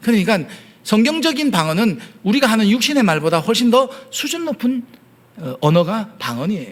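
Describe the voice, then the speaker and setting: Very wide pitch swings at a moderate pace. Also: man. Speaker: pastor. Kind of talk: sermon.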